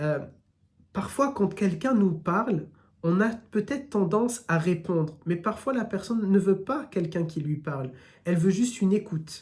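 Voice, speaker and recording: A man with a slight southern French accent, high pitch and lively intonation, moderate pace, audible room echo. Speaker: Islamic religious teacher. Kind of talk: religious lecture, live stream. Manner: hesitant, many fillers.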